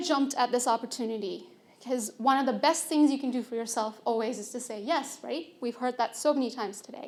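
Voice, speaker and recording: With fairly even intonation, a woman speaks in a high pitch at a fairly quick pace. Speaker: engineer and conference speaker. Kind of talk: conference talk.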